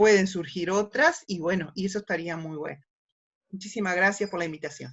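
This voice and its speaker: In a normal speaking voice, a woman of medium pitch talks at a fairly quick pace with ordinary pitch variation and big swings in loudness. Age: 60s. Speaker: ecotourism project participant. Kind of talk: panel discussion.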